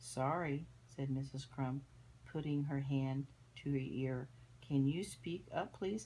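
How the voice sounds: The natural reading voice holds a fairly even intonation.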